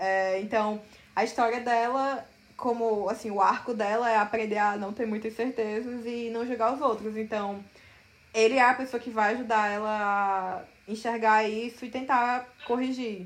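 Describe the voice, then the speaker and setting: The speaker goes at a fairly slow pace in a monotone, flat intonation. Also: woman, fairly high pitch for a woman. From Brazil, Paraíba (Campina Grande). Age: 20s. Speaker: novelist. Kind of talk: interview.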